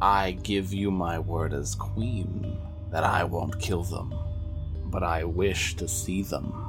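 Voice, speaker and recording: Over loud music in the background, a man uses a put-on character voice with a very deep, low pitch at a fairly slow pace. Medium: actual play. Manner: imperious, cold.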